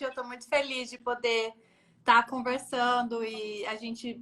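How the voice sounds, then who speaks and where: At a fairly slow pace, a woman speaks in a high pitch with a bright, sharp tone. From São Paulo state interior (Jundiaí), Brazil. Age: 20s. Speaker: UN agency staff, economist. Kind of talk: interview. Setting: Instagram live.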